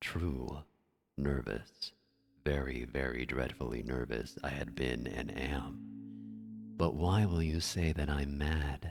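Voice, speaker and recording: Over music in the background, a soft-spoken man talks at a very slow pace in a very deep, low pitch with ordinary pitch variation. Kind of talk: scary story reading, soft-spoken ASMR narration.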